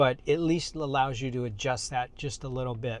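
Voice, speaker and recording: A man speaks in a plain, everyday voice at medium pitch, with fairly even intonation and a moderate pace. The recording is very clean, with a silent background. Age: 60s. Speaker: car reviewer. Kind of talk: tutorial. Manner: casual.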